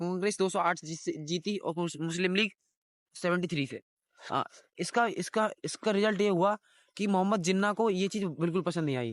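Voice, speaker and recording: A man's high-pitched voice with ordinary pitch variation comes through a dry, close sound with no echo against a quiet background. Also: moderate pace. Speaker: teacher. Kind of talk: lecture. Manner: halting.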